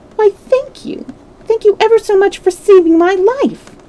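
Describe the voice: In a put-on character voice, a woman talks at a moderate pace with a squeaky, extremely high pitch.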